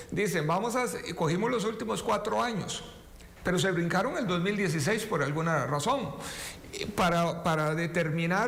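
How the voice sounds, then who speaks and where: A man with a Costa Rican accent speaks at a moderate pace with lively intonation. The room echo is audible, and background noise is noticeable. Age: 50s. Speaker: politician. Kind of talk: talk show interview.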